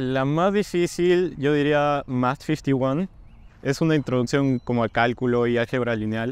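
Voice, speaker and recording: A man talks at a moderate pace. The sound is dry with no echo. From Peru, Cajamarca; Peru. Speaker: university student. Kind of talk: interview Q&A. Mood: friendly, relaxed. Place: street.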